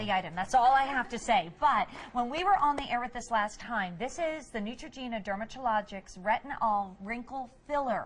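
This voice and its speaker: A woman with a high pitch speaks in an upbeat tone with lively intonation and hardly any pauses. There is noticeable background noise. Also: moderate pace. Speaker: TV shopping host. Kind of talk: TV shopping presentation. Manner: upbeat, effusive.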